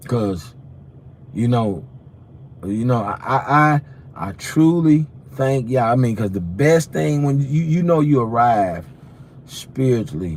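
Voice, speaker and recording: With audible room echo around him, a man speaks with very wide pitch swings and long, frequent pauses. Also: medium pitch for a man, fairly slow pace. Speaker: preacher. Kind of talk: sermon. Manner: animated; stuttering.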